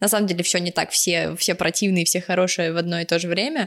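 Her pitch variation is ordinary. The speaker is a woman. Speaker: anime podcast co-host. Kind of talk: casual chat. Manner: animated.

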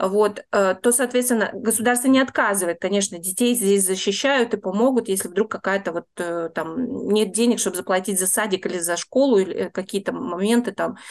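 A woman's plain, everyday voice at medium pitch, with ordinary pitch variation and a moderate pace. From Russia, Saint Petersburg. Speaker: tour guide, emigrant. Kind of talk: interview.

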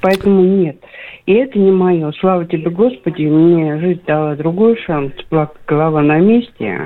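The woman has an ordinary speaking voice, pitched fairly low, with ordinary pitch variation. She talks at a fairly slow pace, and her loudness stays very even. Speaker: caller. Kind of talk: phone-in call. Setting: phone call.

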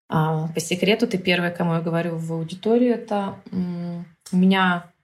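A woman speaks at medium pitch, somewhat breathy, with ordinary pitch variation. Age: 30s. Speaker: business psychologist and mentor. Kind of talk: casual interview chat.

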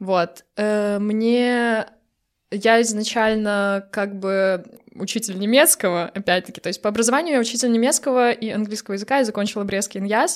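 A woman speaks in an ordinary speaking voice, fairly high-pitched with ordinary pitch variation. Her loudness swings a lot. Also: moderate pace. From Belarus, Brest. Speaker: pastry chef and baker. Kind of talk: casual interview.

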